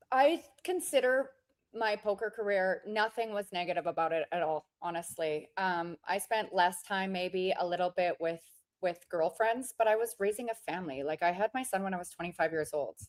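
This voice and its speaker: A woman with a Canadian accent and an ordinary speaking voice, medium in pitch with ordinary pitch variation, at a moderate pace, the sound dry and close with no echo. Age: 40s. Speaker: poker player. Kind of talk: casual interview chat.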